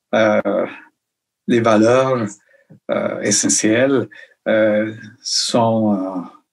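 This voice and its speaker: Speaking with a Colombian accent, a man talks at a very slow pace in a monotone, flat intonation. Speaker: illustrator and children's author. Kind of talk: interview answer. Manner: hesitant, many fillers.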